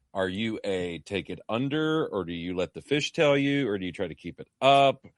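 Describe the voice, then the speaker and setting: Speaking at a moderate pace, a man with a fairly low voice swings his pitch very widely. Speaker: fishing guide and podcast host. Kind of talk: casual chat.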